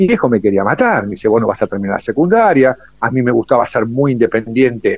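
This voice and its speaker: A man at medium pitch, very fast and with hardly any pauses, lively in intonation, very even in loudness, in a dry, close sound with no echo. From Buenos Aires, Argentina. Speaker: war veteran. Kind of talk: testimony. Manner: animated.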